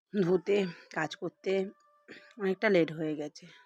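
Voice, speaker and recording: Music plays behind a woman whose intonation stays fairly even. The sound is dry and close, with no echo. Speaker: vlogger. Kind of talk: casual vlog narration.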